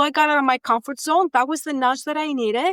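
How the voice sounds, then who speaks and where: With a Greek accent, the voice comes through dry and close with no echo, on a very clean recording against a silent background. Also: woman. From Greece. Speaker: data and AI executive and career coach. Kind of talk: podcast interview. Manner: animated.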